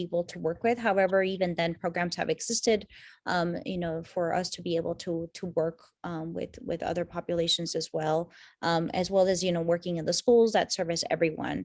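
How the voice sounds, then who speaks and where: This woman has a fairly low pitch and speaks at a fairly quick pace. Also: very clean recording, silent background. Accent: Spanish. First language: Spanish. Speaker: university program director. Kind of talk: information session Q&A. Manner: halting, many fillers.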